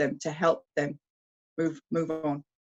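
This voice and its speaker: A woman with a British accent speaks at a moderate pace in a fairly low pitch. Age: 60s. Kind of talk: interview. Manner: hesitant, many fillers.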